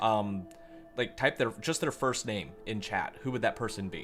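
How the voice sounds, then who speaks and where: Music plays in the background as a man of medium pitch talks fairly quickly with ordinary pitch variation. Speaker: astronomy livestreamer. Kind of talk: live stream chat. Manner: calm.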